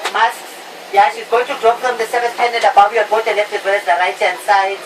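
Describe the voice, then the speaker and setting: Amid noticeable background noise, a woman in a playful tone speaks at a fairly quick pace with a fairly high pitch. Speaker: flight attendant. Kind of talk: in-flight safety announcement. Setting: PA system. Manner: humorous, playful.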